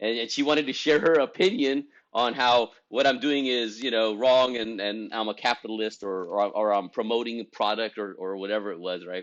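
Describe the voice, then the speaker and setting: A man speaks in an animated tone at a fairly quick pace. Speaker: esthetics business coach. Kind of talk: motivational talk to camera.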